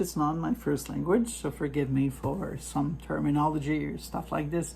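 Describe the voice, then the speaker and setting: A French accent marks the speech. Delivery moves at a moderate pace. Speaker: product reviewer, poultry hobbyist. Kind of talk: product review tutorial. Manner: halting, many fillers; casual.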